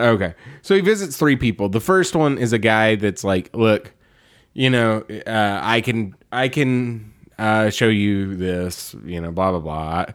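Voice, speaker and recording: A normal speaking voice from a man, fairly low in pitch, with lively intonation, an American accent and a fairly slow pace. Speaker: podcast host.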